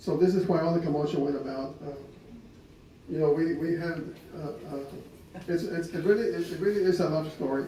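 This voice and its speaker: A man speaks at a high pitch and a fairly quick pace, with fairly even intonation and long, frequent pauses. Audible room echo and noticeable background noise fill the recording. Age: 60s. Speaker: husband speaking at his wedding anniversary. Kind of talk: personal storytelling to gathered guests.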